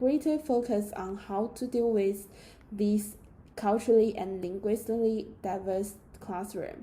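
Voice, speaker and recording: A woman with a Chinese accent talks at a fairly slow pace in a fairly high, somewhat breathy voice. Her tone is dark and mellow, with ordinary pitch variation. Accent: Mandarin Chinese-accented English. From China. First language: Mandarin. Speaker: student. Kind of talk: class presentation. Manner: read from script.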